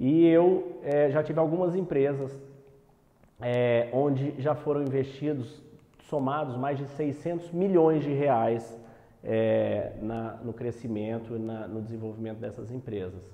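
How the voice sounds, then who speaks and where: The speech moves at a fairly slow pace with ordinary pitch variation, and room echo can be heard. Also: man, medium pitch for a man. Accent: Minas Gerais. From Brazil, Uberlândia, Minas Gerais. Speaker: entrepreneur and business educator. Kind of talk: online masterclass lecture. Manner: hesitant, many fillers and repetitions.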